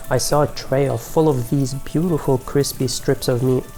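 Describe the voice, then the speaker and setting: Medium-pitched male voice at a moderate pace with fairly even intonation, music playing in the background. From Iraq (Baghdad). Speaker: immigration policy researcher and advocate. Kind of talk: personal essay talk to camera on policy.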